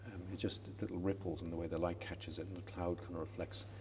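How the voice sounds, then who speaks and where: A man with a very deep, low voice and a dark, mellow tone talks at a very fast pace, somewhat breathy and with fairly even intonation, amid audible room echo. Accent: western Irish. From west coast of Ireland. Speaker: sculptor. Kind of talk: interview. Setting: college chapel. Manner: halting, many repetitions.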